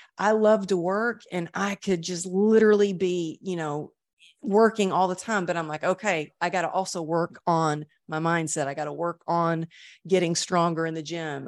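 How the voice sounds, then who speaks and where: A woman speaks in an ordinary speaking voice, her fairly low pitch held in fairly even intonation against a quiet background. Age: 50s. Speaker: motivational speaker and author. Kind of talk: interview testimony.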